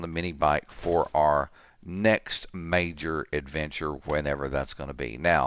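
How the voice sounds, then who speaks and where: With a bright, sharp tone and vocal fry, a man speaks at a very slow pace. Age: 60s. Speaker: gaming streamer. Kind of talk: live gameplay commentary. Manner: casual, rambling with fillers.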